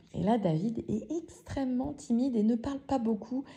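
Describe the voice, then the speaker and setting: A woman's somewhat breathy voice with a dark, mellow tone. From France. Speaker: podcaster. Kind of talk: storytelling. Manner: casual, hesitant with fillers.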